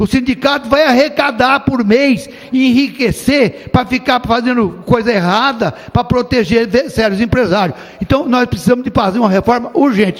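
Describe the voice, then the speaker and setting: Noticeable background noise accompanies a man with an extremely high pitch and ordinary pitch variation. He keeps a moderate pace and very even loudness. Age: 70s. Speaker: state legislator. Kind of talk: parliamentary speech.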